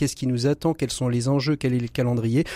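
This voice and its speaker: A man speaks in a dark, mellow tone. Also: dry, close sound with no echo. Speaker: radio host. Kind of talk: radio magazine presenting and interviewing. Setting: radio studio.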